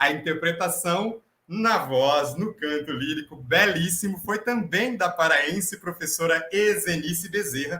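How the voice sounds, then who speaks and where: Lively intonation colors this man's high-pitched voice. He takes a fairly slow pace. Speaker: professor and host of staged reading. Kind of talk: dramatized interview hosting.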